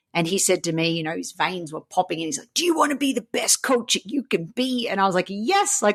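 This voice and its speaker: In an Australian accent, a woman speaks at a medium pitch and a fairly quick pace, with lively intonation and an animated tone. The sound is dry and close with no echo, over a quiet background. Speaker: coach and speaker. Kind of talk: interview.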